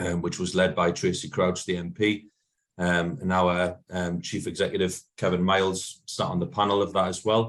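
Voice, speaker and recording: A man with a Geordie accent, very deep and low in pitch, at a moderate pace, in a flat monotone. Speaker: football supporters' organisation manager. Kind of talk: meeting talk. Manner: hesitant, many fillers.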